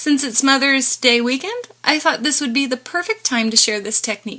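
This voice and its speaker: Using a raised, projected voice, a woman with a high pitch speaks at a moderate pace. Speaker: crafter. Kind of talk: tutorial.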